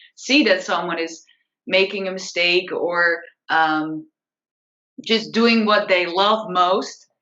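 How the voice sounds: Her voice is fairly low in pitch, with ordinary pitch variation and a fairly bright tone. The woman's speech carries audible room echo.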